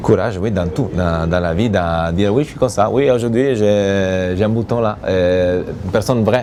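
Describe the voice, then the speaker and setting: Over noticeable background noise, a man with an Italian accent talks at a moderate pace in a fairly low pitch with ordinary pitch variation. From Italy. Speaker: reality TV bachelor, businessman. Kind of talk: interview answer.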